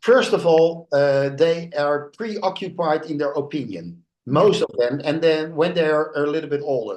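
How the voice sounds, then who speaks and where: A man with a Dutch accent, fairly high in pitch, with ordinary pitch variation at a fairly slow pace. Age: 60s. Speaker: international speaker and author. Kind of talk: podcast interview. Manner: halting, many fillers.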